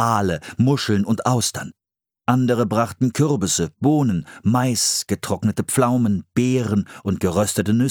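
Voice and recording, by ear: The background is quiet for this reading aloud in a natural voice, which has ordinary pitch variation.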